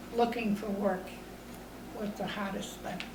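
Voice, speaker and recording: A woman with a fairly high voice speaks in a flat monotone, with audible room echo and noticeable background noise. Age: 80s+. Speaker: elderly interviewee recalling the Depression. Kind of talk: oral history interview. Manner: halting, with many fillers.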